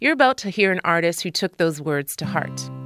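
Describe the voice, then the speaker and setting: Over music in the background, the speaker's upbeat tone and lively intonation come at a moderate pace. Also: woman. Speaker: radio host. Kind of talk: radio host aircheck, music introductions. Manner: polished, upbeat, conversational.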